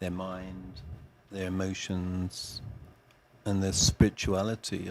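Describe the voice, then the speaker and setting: Here a man talks at a very slow pace with an American accent. His pitch is very deep and low. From England. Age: 60s. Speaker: Ayurvedic chef and meditation teacher. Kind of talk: casual podcast interview.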